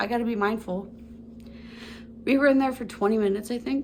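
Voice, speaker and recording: A woman talks at a very fast pace in an animated tone with ordinary pitch variation, and room echo is audible. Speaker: lifestyle vlogger. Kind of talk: casual chat.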